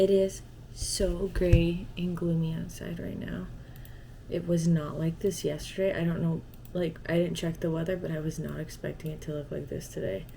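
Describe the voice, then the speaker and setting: A woman speaks with an American accent at a moderate pace. Audible room echo surrounds her voice. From Arizona. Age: 20s. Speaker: lifestyle vlogger. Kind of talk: casual vlog chat. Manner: chatty, rambling with fillers.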